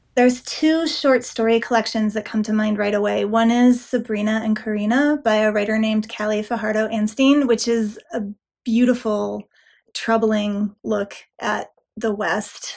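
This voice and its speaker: In an American accent, a plain, everyday voice moves at a moderate pace with fairly even intonation. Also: woman, fairly high pitch for a woman. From Nevada. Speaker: author. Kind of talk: interview. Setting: video call.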